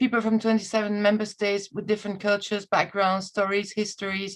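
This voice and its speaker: Speaking with a non-native accent, a woman talks at a fairly quick pace. Her fairly high voice stays flat and monotone. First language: not English. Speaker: EU recruitment communications officer. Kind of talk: webinar presentation. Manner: halting, many fillers.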